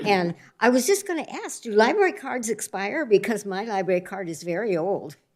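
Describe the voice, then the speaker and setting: A woman with an American accent and a plain, everyday voice talks at a fairly quick pace, her medium pitch carrying lively intonation and big swings in loudness. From US West Coast (Oregon, Northern California). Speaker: new library board member. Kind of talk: self-introduction at a public board meeting. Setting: city library board meeting.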